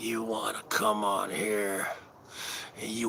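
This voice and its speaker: Whispering with an American accent, a man speaks over noticeable background noise. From New Jersey. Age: 40s. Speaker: livestream host. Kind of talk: casual livestream banter. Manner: wrestler-style promo delivery.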